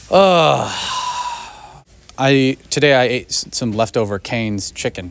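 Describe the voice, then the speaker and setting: A man talks at medium pitch in an American accent. Noticeable background noise is present. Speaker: movie vlogger. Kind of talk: casual vlog. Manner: animated.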